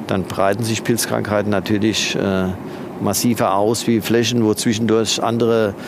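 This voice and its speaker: Against noticeable background noise, a man speaks at a moderate pace and fairly low pitch, with monotone, flat intonation and very even loudness. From Nahe region, Rhineland-Palatinate, Germany. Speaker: winemaker. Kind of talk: casual conversation during a vineyard walk. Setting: outdoors in vineyards. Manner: hesitant, many fillers.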